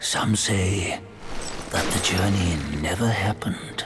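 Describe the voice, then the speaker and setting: Whispering in a put-on character voice, a man speaks at a fairly slow pace against clear background noise. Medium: machinima. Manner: knowing, storytelling.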